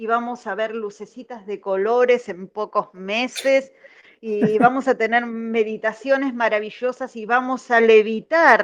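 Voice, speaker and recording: A woman speaks in a plain, everyday voice, fairly high-pitched, at a fairly slow pace with ordinary pitch variation. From Argentina, Buenos Aires. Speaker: caller. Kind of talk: call-in comment.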